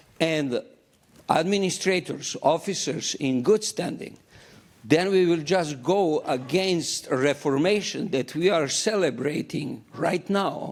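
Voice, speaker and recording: At a very slow pace, a man talks in a non-native accent with ordinary pitch variation. His pitch sits fairly high. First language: not English. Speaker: church delegate. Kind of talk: formal debate speech at church business meeting. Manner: halting.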